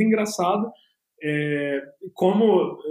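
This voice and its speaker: A man with ordinary pitch variation. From Brazil, São Paulo metro area (São Bernardo do Campo). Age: 20s. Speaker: tech entrepreneur, hackathon organizer. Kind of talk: casual interview.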